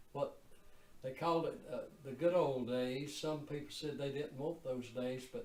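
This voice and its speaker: With noticeable background noise, a man at a fairly high pitch speaks at a fairly slow pace and with fairly even intonation. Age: 80s+. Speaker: lifelong resident recalling the past. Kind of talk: interview answer.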